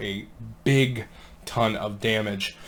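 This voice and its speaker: Here a man does the talking. His pitch shifts in an ordinary manner. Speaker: gaming content creator. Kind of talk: gameplay tutorial. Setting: home recording late at night. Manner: hushed to avoid waking kids.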